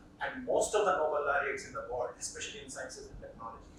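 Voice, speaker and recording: This man speaks with an Indian accent. His pace is moderate. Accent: Indian English, Telugu. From India, Telugu-speaking region. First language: Telugu. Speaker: professor. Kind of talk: lecture.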